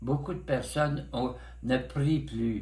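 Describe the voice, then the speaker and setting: Very slow speech from a man, set in audible room echo. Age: 90s. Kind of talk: interview. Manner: halting.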